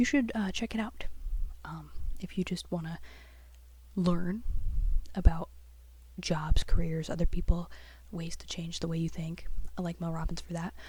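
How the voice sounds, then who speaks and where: Soft-spoken and at a moderate pace, a woman talks with long, frequent pauses and big swings in loudness. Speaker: artist, graphic designer. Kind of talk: soft-spoken ASMR chat while drawing.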